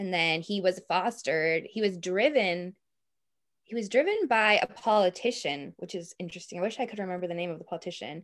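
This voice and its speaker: A woman with a Boston accent, medium pitch and ordinary pitch variation, on a very clean recording with a silent background. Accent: Boston American. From US, Boston. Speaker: history researcher. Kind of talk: interview.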